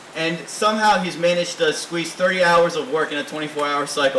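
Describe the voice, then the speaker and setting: An animated male voice, fairly high-pitched, with ordinary pitch variation and a very fast pace over noticeable background noise. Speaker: recent graduate, introducing speaker. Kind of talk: introduction speech. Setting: reception at private estate, with audience.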